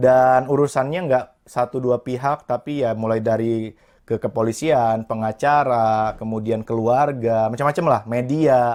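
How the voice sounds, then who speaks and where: A man with an unremarkable speaking voice talks at a fairly slow pace and medium pitch, with fairly even intonation. The recording is very clean, the background silent. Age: 20s. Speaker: motivational speaker and entrepreneur. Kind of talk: interview.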